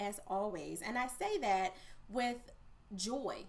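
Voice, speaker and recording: A woman's animated voice amid noticeable background noise and audible room echo. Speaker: podcast host and coach. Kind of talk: podcast interview.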